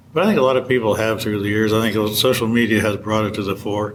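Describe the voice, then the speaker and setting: A man speaks at a medium pitch with fairly even intonation. Audible room echo fills the recording. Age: 70s. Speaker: hunting magazine editor. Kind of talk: interview.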